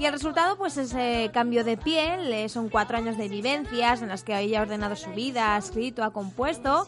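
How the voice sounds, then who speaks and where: Over noticeable background noise, a woman speaks at a fairly quick pace in a high voice with lively intonation and hardly any pauses. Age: 20s. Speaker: radio co-host. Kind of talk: casual radio chat.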